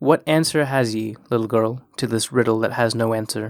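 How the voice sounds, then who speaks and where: A man puts on a hissing character voice at a medium pitch, speaking at a moderate pace. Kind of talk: archaic dialect, "ye" speech. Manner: hissing, menacing.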